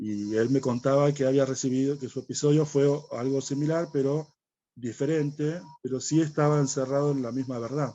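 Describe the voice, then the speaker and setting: Dark and mellow in tone, a man's fairly high voice carries fairly even intonation. He speaks at a moderate pace. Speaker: guest presenting a spiritual study program. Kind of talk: conversational explanation in a spiritual dialogue. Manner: hesitant, many fillers.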